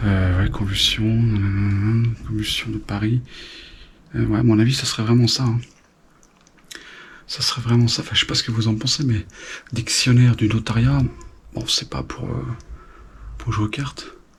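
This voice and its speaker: Quiet and at a medium pitch, a man speaks at a moderate pace with ordinary pitch variation. He leaves long, frequent pauses. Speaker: urban explorer vlogger. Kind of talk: exploration vlog narration. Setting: indoors in abandoned manor. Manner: hesitant, many fillers; speaking quietly.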